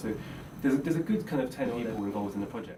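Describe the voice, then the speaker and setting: A man with an English accent mumbles. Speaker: musician. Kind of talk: interview. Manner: mumbling; halting.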